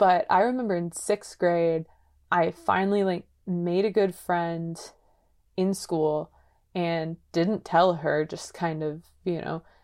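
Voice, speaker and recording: A woman with a Californian accent speaks very slowly in a fairly low voice, with fairly even intonation. She leaves long, frequent pauses. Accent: Californian American. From San Diego, California. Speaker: podcast co-host. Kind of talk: casual chat.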